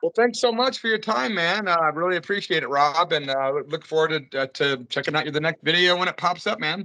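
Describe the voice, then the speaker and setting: Against a quiet background, a man talks in a high, bright, sharp voice with hardly any pauses. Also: fairly quick pace. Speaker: radio host; radio show host. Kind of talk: interview. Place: home room. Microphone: video call.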